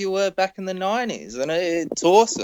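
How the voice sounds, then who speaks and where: Talking at a moderate pace, a man with an Australian accent has a fairly high pitch. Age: 20s. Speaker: podcast host. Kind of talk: casual chat.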